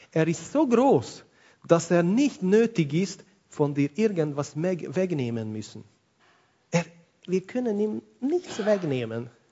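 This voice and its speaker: Speaking very slowly with long, frequent pauses, a man uses a high voice with very wide pitch swings. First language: not German (speaking German). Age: 40s. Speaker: pastor. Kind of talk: sermon.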